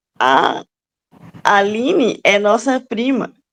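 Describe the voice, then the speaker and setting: A woman speaks with ordinary pitch variation. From Minas Gerais, Brazil. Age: 30s. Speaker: podcast co-host, teacher. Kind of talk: casual chat.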